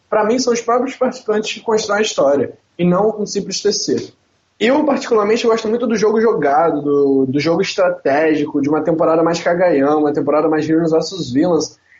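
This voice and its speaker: A man with a Rio de Janeiro accent talks at a fairly quick pace and a high pitch. His intonation is lively and his loudness very even. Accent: carioca. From Rio de Janeiro, Brazil. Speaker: podcast co-host. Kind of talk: casual chat.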